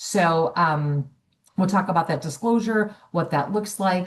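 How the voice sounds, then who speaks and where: A woman's somewhat breathy voice at a fairly quick pace. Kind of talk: webinar presentation. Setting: online webinar. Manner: fast.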